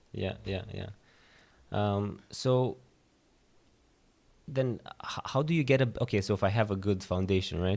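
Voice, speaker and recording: A man with a fairly low pitch leaves long, frequent pauses. The recording is very clean, with a silent background. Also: ordinary pitch variation, fairly slow pace. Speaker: podcast host. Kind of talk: interview. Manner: halting.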